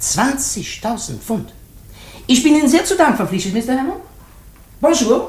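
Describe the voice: In a put-on character voice, a man speaks at an extremely high pitch and a moderate pace, with big pitch swings. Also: slightly mellow tone.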